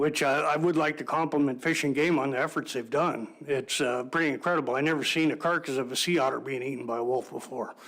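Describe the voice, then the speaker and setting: Talking at a very fast pace with hardly any pauses, a man uses fairly even intonation at a fairly high pitch. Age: 60s. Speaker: public testifier, local hunter. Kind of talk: public testimony. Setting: public board meeting. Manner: halting, many fillers.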